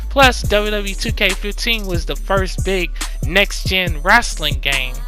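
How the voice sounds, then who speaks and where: Very slow speech with an American accent, with music in the background. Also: man. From United States, Louisiana. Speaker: ASMR YouTuber. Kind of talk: casual talk to camera.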